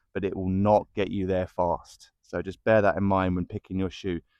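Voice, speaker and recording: Over a quiet background, a man speaks in a very deep, low voice with monotone, flat intonation. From UK. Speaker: running shoe reviewer. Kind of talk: product review. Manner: casual, hesitant with fillers.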